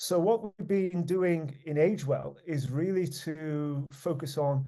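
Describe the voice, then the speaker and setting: A man with a British accent speaks at a very slow pace. His fairly high-pitched voice has a dark, mellow tone. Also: ordinary pitch variation. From United Kingdom. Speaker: research network leader. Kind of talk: conference presentation. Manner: halting, many fillers and repetitions.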